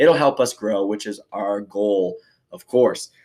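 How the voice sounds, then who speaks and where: Very clean recording of a male voice, silent background. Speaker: fitness podcast host. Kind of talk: casual monologue podcast. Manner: filler-heavy, casual.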